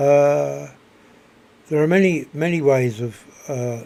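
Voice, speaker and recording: A man's dark, mellow voice at a very slow pace, with ordinary pitch variation. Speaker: video blogger. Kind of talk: spoken reflection monologue. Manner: soft-spoken; halting, many repetitions.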